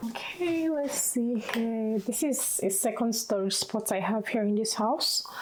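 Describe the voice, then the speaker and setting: A woman with a fairly high pitch speaks at a fairly slow pace with hardly any pauses, ordinary pitch variation and very even loudness. There is noticeable background noise. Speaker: lifestyle vlogger. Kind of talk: casual vlog talk to camera. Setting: at home. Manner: slow, just woke up.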